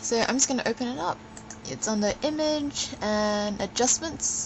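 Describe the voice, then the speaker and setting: With lively intonation and a fairly high pitch, a woman speaks at a fairly slow pace over noticeable background noise. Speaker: photographer. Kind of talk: software tutorial narration. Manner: slurring.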